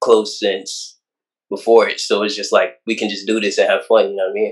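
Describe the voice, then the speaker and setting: A man speaks over a quiet background. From Broward County, Florida; Jamaican family; Florida. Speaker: rapper; guest. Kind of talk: casual interview. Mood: relaxed, casual. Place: home room. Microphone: video call.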